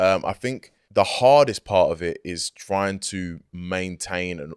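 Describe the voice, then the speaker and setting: A man's very deep, low voice at a very slow pace, with ordinary pitch variation, dry and close with no echo, on a very clean recording over a silent background. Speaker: hip-hop artist. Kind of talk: interview. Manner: casual, filler-heavy.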